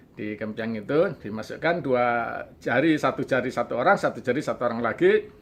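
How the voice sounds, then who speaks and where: A man of medium pitch with lively intonation at a fairly quick pace, over a quiet background. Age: 60s. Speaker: storyteller recounting childhood experience. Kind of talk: interview storytelling. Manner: halting, with fillers.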